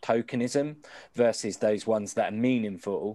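Dark, mellow tone from a man with a British accent and fairly even intonation. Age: 40s. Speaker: podcast co-host. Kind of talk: casual interview chat. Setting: video call.

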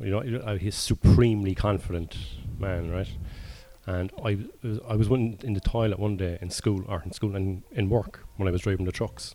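In a Cork accent, a man talks at a fairly low pitch with a dark, mellow tone. His pace is moderate and his intonation fairly even. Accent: Cork Irish. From Ireland. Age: 40s. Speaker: stand-up comedian. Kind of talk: casual chat. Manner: laconic.

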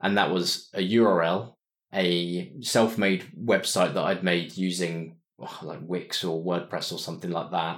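A man's very deep, low voice in a southern English accent, fairly slow and fairly even in intonation, on a very clean recording with a silent background. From southern England (Winchester). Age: 30s. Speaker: entrepreneur. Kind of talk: interview.

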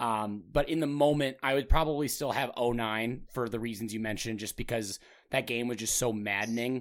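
In a normal speaking voice with an American accent, the speaker moves at a fairly quick pace with fairly even intonation. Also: man, medium pitch for a man. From Minnesota. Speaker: sports podcast host. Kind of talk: casual chat.

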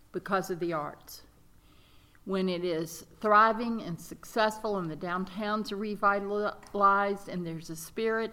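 A woman with a Mississippi accent speaks at a fairly slow pace. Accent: Southern US (Mississippi). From US South, rural Mississippi. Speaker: arts nonprofit director. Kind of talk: interview.

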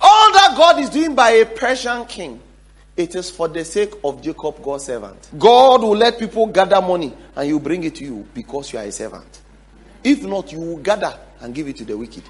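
Over noticeable background noise, a man talks at a moderate pace with a high pitch. His pitch swings very widely and his loudness varies greatly. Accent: Ghanaian. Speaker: pastor. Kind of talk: sermon with closing prayer. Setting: church. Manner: fervent, exhortative, urgent, repeating phrases.

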